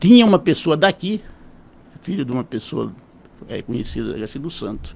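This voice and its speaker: Here a man speaks at a moderate pace with a fairly high pitch and vocal fry. His pitch swings very widely and his loudness rises and falls sharply. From São Paulo state, Brazil. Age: 70s. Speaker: physician. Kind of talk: radio interview.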